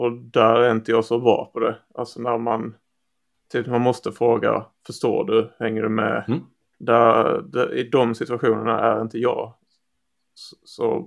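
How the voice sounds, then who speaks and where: This man has a medium pitch and a monotone, flat intonation. He speaks at a fairly slow pace. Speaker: software developer and podcast co-host. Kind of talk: casual chat.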